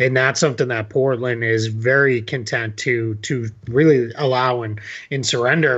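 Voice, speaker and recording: In a plain, everyday voice, a man with an American accent talks at a moderate pace, medium pitch and fairly even intonation. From Boston area, US. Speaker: basketball writer. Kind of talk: casual interview.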